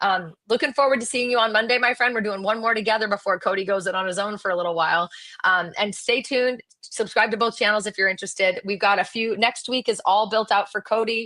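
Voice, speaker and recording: The speaker goes at a very fast pace. Intonation stays fairly even. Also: woman, fairly high pitch for a woman. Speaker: real estate agent. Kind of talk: live stream chat. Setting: live stream.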